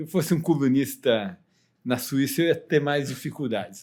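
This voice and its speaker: A normal speaking voice from a man, fairly high in pitch, at a moderate pace on a very clean recording with a silent background. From Brazil, São Paulo city. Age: 60s. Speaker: economist. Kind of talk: podcast interview.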